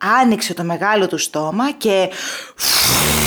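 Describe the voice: Someone reads aloud plainly. Nothing more is added to the reading.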